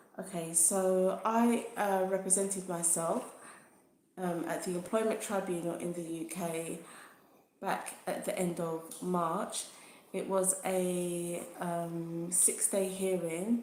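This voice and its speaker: Talking at a very slow pace, a woman at medium pitch keeps her intonation fairly even, with audible room echo around her. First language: not English. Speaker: YouTuber sharing personal legal experience. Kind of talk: livestream talk to viewers. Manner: hesitant, many fillers.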